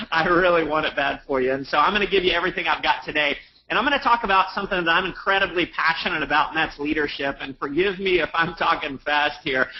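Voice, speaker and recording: Talking at a very fast pace with hardly any pauses, a man uses a high pitch and ordinary pitch variation. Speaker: network marketing leader and speaker. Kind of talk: motivational webinar talk. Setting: live webinar. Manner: animated.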